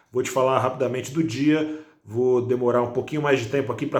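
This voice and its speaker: Audible room echo surrounds a soft-spoken man whose medium-pitched voice keeps a fairly even intonation. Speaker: financial news presenter. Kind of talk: market news commentary. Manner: speaking softly.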